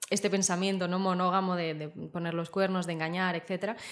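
A woman uses a normal speaking voice at medium pitch, talking at a fairly quick pace with fairly even intonation. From Spain, Zaragoza. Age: 20s. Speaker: interview guest. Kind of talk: interview, personal story.

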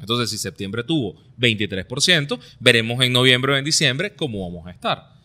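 With a bright, sharp tone and lively intonation, a man talks at a moderate pace in a medium pitch. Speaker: political commentary podcast co-host. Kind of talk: casual political discussion.

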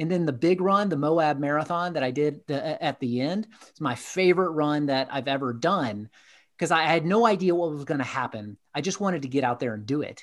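On a very clean recording with a silent background, a man with an American accent and an unremarkable speaking voice talks fairly quickly at a fairly high pitch with ordinary pitch variation. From US South, Atlanta, Georgia. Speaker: executive coach. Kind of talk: interview conversation.

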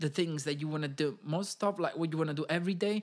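On a very clean recording with a silent background, a man with an Italian accent speaks at a high pitch for a man. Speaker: podcast host and music industry worker. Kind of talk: casual solo podcast monologue. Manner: informal, hesitant with frequent fillers.

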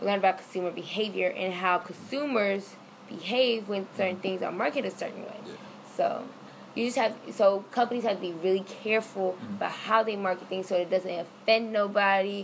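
With an American accent, a woman speaks fairly quickly at a medium pitch and ordinary pitch variation while noticeable noise sits in the background. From Florida. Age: 20s. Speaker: college student. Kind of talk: casual interview.

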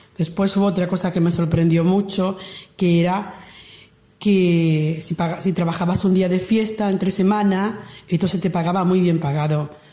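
A woman with an unremarkable speaking voice talks at a moderate pace, using a fairly low pitch and fairly even intonation. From Andalusia, Lucena (Córdoba). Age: 60s. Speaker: emigrant worker. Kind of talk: testimony.

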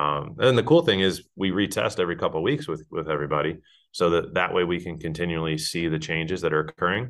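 Ordinary pitch variation shapes the very deep, low voice of a man with an American accent. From US Northeast. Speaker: physical therapist and business owner. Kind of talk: interview. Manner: hesitant, many fillers.

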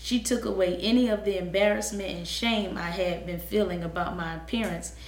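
Noticeable background noise around a woman speaking at a moderate pace. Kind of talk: interview.

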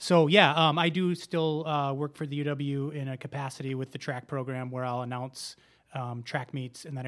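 A man's unremarkable speaking voice with an American accent, medium pitch and fairly even intonation, in a very clean recording with a silent background. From Wisconsin, Racine. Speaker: running club founder and coach. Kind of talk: casual interview.

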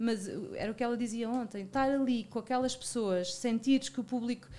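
A woman with a fairly high pitch talks at a fairly quick speed. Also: very clean recording, silent background. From Portugal, Algarve (Lagos). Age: 40s. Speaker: media marketing and talent manager. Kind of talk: casual interview. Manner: halting, many repetitions and fillers.

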